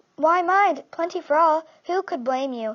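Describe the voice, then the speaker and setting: A woman's put-on character voice, extremely high in pitch, at a moderate pace. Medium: read story. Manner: excitable, eager.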